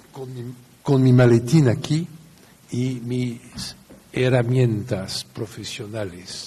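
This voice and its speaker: At a very slow pace, a man with a medium pitch speaks with fairly even intonation and long, frequent pauses. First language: French (speaking Spanish). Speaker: lawyer. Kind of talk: lecture.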